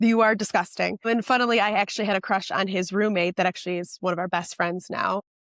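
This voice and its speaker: A woman talks at a very fast clip in an animated tone with an American accent, medium in pitch, with hardly any pauses and a dry, close sound free of echo. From Chicago, South Side. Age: 30s. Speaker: content creator. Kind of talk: casual chat. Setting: podcast.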